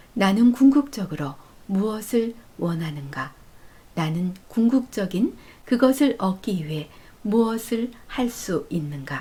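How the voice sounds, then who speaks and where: A woman talks at a very slow pace in a calm, dark, mellow tone that is somewhat breathy, with very wide pitch swings. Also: medium pitch for a woman. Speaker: narrator. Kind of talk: audiobook reading of life advice. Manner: calm, soft-spoken.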